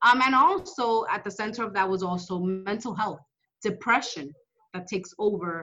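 A woman with an American accent has an ordinary speaking voice, speaking at a moderate pace and medium pitch with ordinary pitch variation. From New York City, Dominican-born. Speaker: state legislator. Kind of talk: interview. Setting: office.

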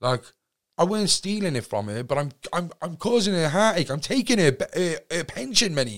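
A man with a Cardiff accent speaks at a moderate pace, his high voice swinging very widely in pitch. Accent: Cardiff Welsh English. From Wales, Cardiff. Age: 20s. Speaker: podcaster and recovering addict. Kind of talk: casual interview chat.

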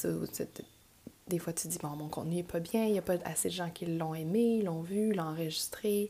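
A woman speaks in a Quebec accent with a fairly low pitch and ordinary pitch variation. Her tone is dark and mellow. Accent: Québécois French. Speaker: yoga teacher and podcast host. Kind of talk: casual monologue. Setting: home recording at computer.

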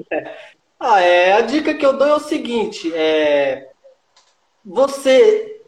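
A man's extremely high pitch with very wide pitch swings, at a very slow pace with long, frequent pauses. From Minas Gerais, Brazil. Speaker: street roller skater. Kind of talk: casual interview.

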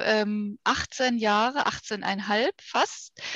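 Her voice fairly high in pitch, a woman speaks with a dry, close sound and no echo. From Ruhr area, Germany. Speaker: vascular surgeon. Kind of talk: interview.

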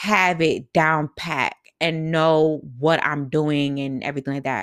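In a very clean recording with a silent background and a dry, close sound with no echo, a woman speaks at a fairly slow pace in an animated tone with a fairly low pitch. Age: 20s. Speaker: podcast host. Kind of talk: casual solo podcast talk.

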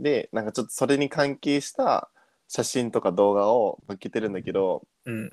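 The speaker has a normal speaking voice at a moderate pace. The sound is dry and close, with no echo. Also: man, medium pitch for a man, ordinary pitch variation. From abroad (returnee). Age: 20s. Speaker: podcast co-host. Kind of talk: casual chat.

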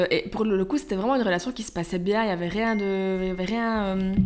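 Ordinary pitch variation comes at a fairly quick pace, with noticeable background noise. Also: woman. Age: 20s. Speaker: online magazine founder. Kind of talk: casual chat.

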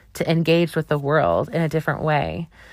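A woman with an American accent speaks in a very deep, low pitch. The recording is very clean, with a silent background. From US Midwest, Wisconsin. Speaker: travel podcast host. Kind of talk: casual solo monologue. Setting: home recording in a closet. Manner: animated.

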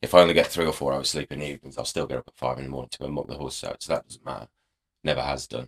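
A man with an English accent speaks at a very fast pace, with a very deep, low pitch, vocal fry and fairly even intonation. His loudness swings widely, and the sound is dry and close with no echo. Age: 30s. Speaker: racehorse rider. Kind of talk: casual chat.

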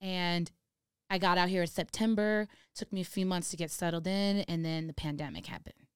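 A normal speaking voice with an American accent and fairly even intonation, in a very clean recording with a silent background and a dry, close sound with no echo. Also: woman. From Los Angeles area, California. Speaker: DJ and music producer. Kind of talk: casual interview chat.

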